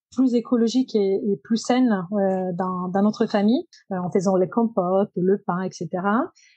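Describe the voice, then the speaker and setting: Speaking at a moderate pace with an Italian accent, a woman has a fairly high pitch, ordinary pitch variation and a dark, mellow tone, recorded dry and close with no echo against a quiet background. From Italy, Genoa. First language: Italian (speaking French). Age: 30s. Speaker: circular economy professional. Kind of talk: podcast interview. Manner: hesitant, many fillers.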